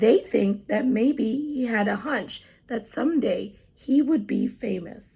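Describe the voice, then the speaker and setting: In a put-on character voice, a female-sounding speaker uses a raspy, gentle, warm tone, pitched high and moving at a fairly slow pace. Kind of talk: children's story reading. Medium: read story.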